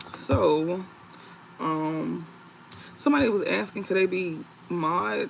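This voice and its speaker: Clearly audible noise sits in the background. A man is the one talking. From US South, Mississippi / New Orleans. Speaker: tarot reader, livestreamer. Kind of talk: livestream tarot reading. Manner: loud during readings.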